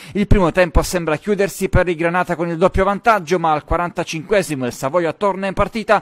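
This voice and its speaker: The voice has an energetic tone and a dry, close sound with no echo. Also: man. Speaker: sports reporter. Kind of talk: sports match report, voiceover over highlights. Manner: fast, energetic play-by-play delivery; animated, building excitement at goals and comebacks.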